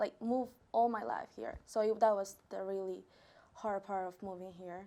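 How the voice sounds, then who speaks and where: A woman with a Peruvian accent at medium pitch, dark and mellow in tone, with ordinary pitch variation at a moderate pace. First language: Spanish. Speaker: college student. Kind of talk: interview. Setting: studio. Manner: hesitant.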